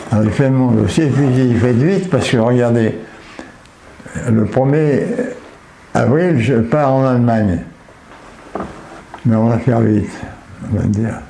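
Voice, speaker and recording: A man talks at a fairly slow pace with long, frequent pauses and ordinary pitch variation. His loudness stays very even over noticeable background noise. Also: medium pitch for a man. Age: 80s+. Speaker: war veteran. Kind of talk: interview answer.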